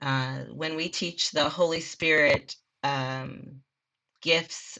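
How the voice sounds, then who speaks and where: A woman speaks with an Upper Midwest accent in a bright, sharp tone. The background is quiet. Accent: Upper Midwest (Minnesota). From Minnesota, Minneapolis. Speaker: assistant children's minister. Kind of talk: casual chat.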